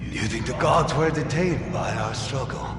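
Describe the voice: Amid loud background noise and clear echo, a man performs a cartoonish character voice at a moderate pace. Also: fairly high pitch for a man.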